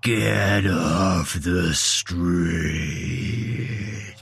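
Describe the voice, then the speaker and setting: A man puts on a character voice. It is raspy and very deep, with a low pitch. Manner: growling.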